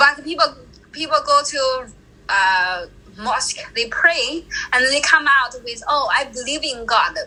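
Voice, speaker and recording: In a Chinese accent, the voice is raised and projected, moving at a fairly slow pace with lively intonation. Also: woman, high pitch for a woman. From China. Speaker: traveler. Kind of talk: interview.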